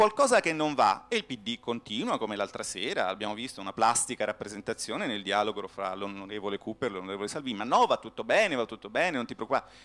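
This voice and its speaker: A man rattles along at a very fast pace with hardly any pauses and very wide pitch swings. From Florence, Tuscany. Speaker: economics professor; panelist. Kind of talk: conference speech. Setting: stage with audience. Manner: animated. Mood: ironic, polemical. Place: hall. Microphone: handheld.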